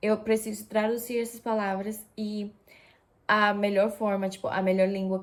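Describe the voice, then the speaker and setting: A woman at a medium pitch, at a fairly slow pace. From Japan. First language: Japanese, Russian and Spanish (speaking Portuguese). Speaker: vlogger. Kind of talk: casual vlog talk. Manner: hesitant, many fillers.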